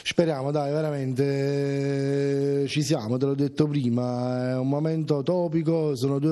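A man's dark, mellow tone with fairly even intonation over a quiet background. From Italy. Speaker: football supporters' club member. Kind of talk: TV interview.

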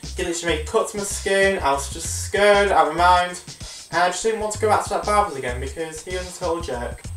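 Faint music sits in the background as a man talks at a very fast pace. Audible room echo surrounds his voice. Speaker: vlogger. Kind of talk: casual storytime talk to camera. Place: home room. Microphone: webcam.

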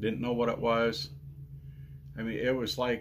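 A man speaks against noticeable background noise. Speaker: ranch vlogger. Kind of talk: casual vlog chat. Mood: earnest, recounting painful ordeal. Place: home room. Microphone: phone near.

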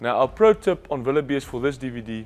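The speech moves at a fairly quick pace. Its intonation is lively. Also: man. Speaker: presenter. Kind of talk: instructional presentation. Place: studio. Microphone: lapel.

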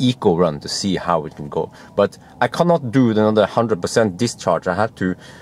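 The pace is moderate and the sound is dry with no echo. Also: man. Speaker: car reviewer. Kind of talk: casual vlog chat. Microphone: phone near.

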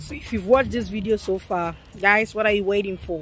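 A woman at a fairly quick pace, dry with no echo, faint music in the background. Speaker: family vlogger. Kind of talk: casual vlog chat. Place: rain. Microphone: phone near.

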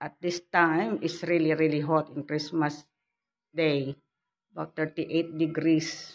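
A woman speaks with a very deep, low pitch and fairly even intonation. Her pace is very slow. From Philippines. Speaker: vlogger; home vlogger. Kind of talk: casual vlog. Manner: halting. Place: home room. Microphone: phone near.

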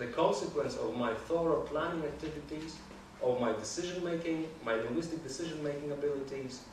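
With audible room echo, a man talks fairly quickly at a fairly high pitch with ordinary pitch variation.

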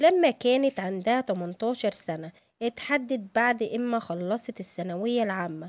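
A woman's fairly high voice with lively intonation, a fairly slow pace, a dry, close sound with no echo, and a quiet background. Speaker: celebrity news narrator. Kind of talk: scripted narration.

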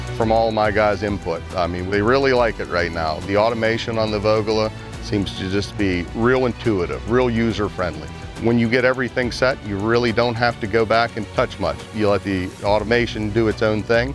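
Clear music plays in the background as a man speaks at a fairly low pitch with ordinary pitch variation. The sound is dry, with no echo. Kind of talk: interview answer. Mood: calm, positive. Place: open country.

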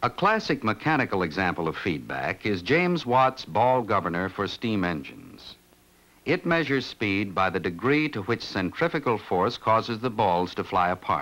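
A man at a fairly low pitch, very wide pitch swings, moderate pace. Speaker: film narrator. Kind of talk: documentary narration. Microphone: old recording.

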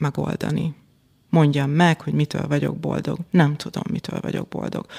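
The sound is dry and close with no echo as a woman talks at a very deep, low pitch with ordinary pitch variation. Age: 40s. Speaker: business executive and organisational development consultant. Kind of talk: interview conversation. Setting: podcast studio.

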